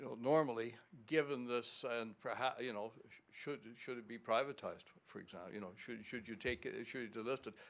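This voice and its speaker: Loudness swings widely as a man with a medium pitch talks at a fairly quick pace with ordinary pitch variation. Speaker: shareholder asking question. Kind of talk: audience question. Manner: halting, many repetitions.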